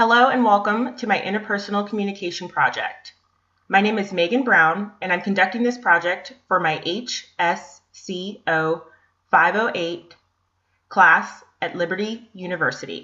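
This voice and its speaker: This woman has an ordinary speaking voice with an American accent at medium pitch. Her pace is moderate, and her pitch variation is ordinary. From US, Northern Virginia. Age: 20s. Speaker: graduate student. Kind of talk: class presentation. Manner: scripted, reading from slides.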